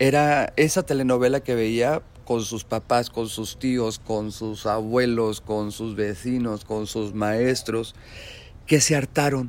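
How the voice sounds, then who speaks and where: A man talks very slowly, his intonation staying fairly even. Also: medium pitch for a man. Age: 40s. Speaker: podcast host. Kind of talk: solo live commentary monologue. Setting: live stream.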